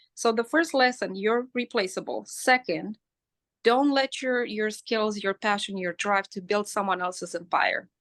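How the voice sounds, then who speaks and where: This woman speaks with a non-native accent and ordinary pitch variation. The background is quiet. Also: fairly high pitch for a woman, dry, close sound with no echo. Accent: foreign. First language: not English. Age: 40s. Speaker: hairstylist and educator. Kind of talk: interview conversation. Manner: animated; repetitive stammering.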